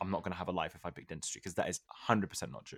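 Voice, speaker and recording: A man with a British accent speaks at a very fast pace. The recording is very clean and the background silent. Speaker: podcast host, dental student. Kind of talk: casual chat.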